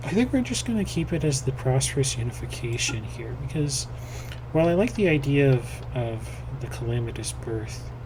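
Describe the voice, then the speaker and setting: A fairly quick delivery with audible room echo and noticeable background noise. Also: man. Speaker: gaming video creator. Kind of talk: gameplay commentary. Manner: casual, hesitant with many fillers.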